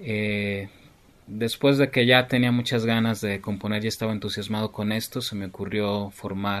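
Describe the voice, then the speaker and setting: An unremarkable speaking voice from a man, fairly low in pitch, fairly slow, with ordinary pitch variation. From Mexico City. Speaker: keyboardist and composer. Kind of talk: interview.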